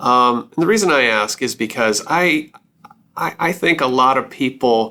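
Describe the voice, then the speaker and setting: With an American accent, a man talks at a moderate pace in an ordinary speaking voice. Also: medium pitch for a man, lively intonation. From Wisconsin, US Midwest. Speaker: podcast host. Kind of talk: interview.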